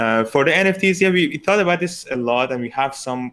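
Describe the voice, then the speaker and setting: A man with a non-native accent speaks at a moderate pace with lively intonation. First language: not English. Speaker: exam committee member. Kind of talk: live Q&A panel.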